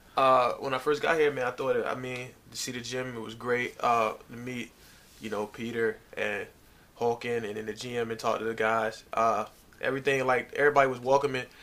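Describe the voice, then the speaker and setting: In an American accent, a man with a medium pitch and bright, sharp tone speaks at a moderate pace with monotone, flat intonation. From US South, Virginia (Norfolk). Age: 20s. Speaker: basketball player. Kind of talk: casual interview.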